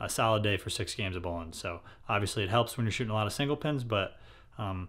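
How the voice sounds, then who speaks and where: At a very fast pace, a man speaks with a fairly low pitch. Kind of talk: casual vlog chat. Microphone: phone near.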